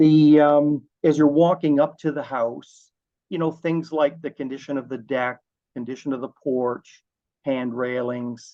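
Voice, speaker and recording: With a Canadian accent, a man speaks fairly slowly in a fairly high voice of dark, mellow tone. His intonation stays fairly even. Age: 60s. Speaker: home inspector. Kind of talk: interview. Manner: halting, many fillers and repeats.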